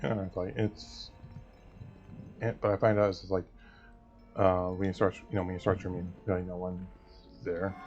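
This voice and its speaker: Over music in the background, a man speaks at a fairly quick pace in a very deep, low, monotone voice with flat intonation. He leaves long, frequent pauses. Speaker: gaming youtuber. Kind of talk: gameplay commentary. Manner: halting.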